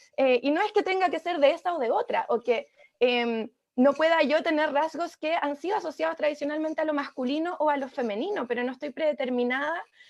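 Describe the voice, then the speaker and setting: A woman speaks in a high voice with a Chilean accent. Her intonation is lively and her pace fairly quick. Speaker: economist and mayoral candidate. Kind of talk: panel discussion. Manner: hesitant, many fillers.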